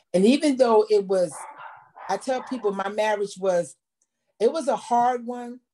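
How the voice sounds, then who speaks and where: Pausing long and often, a woman speaks at a moderate pace. Her pitch is fairly high with ordinary variation, and her tone is dark and mellow. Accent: American. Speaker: online show co-host. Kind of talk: testimony. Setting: video livestream.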